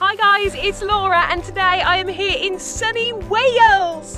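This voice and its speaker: Raising and projecting her voice at an extremely high pitch, a woman speaks fairly slowly with fairly even intonation, in a dry sound with no echo and faint music in the background. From Birmingham, England. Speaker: TV presenter. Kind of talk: casual talk to camera, vlog style. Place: open country.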